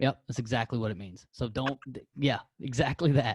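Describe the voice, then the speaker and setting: A man speaks in an American accent, his voice somewhat breathy. The sound is dry and close, with no echo. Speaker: podcast host. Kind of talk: casual interview.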